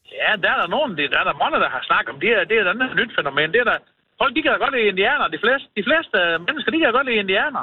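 At a very fast pace, a man talks at an extremely high pitch with very wide pitch swings and very even loudness. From North Jutland. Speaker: local resident. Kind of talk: casual chat.

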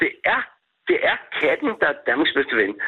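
A man at a fairly slow pace. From Denmark, Køge. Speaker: cat rescue volunteer. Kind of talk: phone interview. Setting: phone call.

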